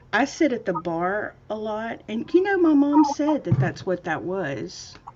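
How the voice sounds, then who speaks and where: The speaker, with an American accent, talks at a fairly slow pace with very wide pitch swings. Noticeable background noise runs underneath. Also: woman, fairly high pitch for a woman. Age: 50s. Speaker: craft livestream host. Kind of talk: casual chat.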